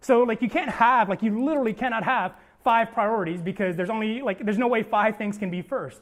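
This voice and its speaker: Here a man talks at a very fast pace and a high pitch. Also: ordinary pitch variation. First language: not English. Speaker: pastor. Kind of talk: sermon. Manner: casual, filler-heavy (like, um).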